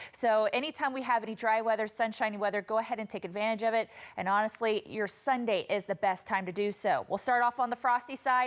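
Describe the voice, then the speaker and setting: A woman with an American accent and a normal speaking voice, fairly high in pitch, fairly even in intonation and fairly quick, in a very clean recording with a silent background. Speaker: television meteorologist. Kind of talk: TV weather forecast.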